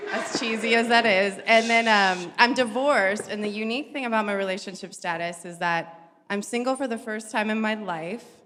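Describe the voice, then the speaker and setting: A woman's fairly high voice with ordinary pitch variation, a fairly quick pace and hardly any pauses, over noticeable background noise and audible room echo. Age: 30s. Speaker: panelist, mother. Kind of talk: panel introduction. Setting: stage with live audience.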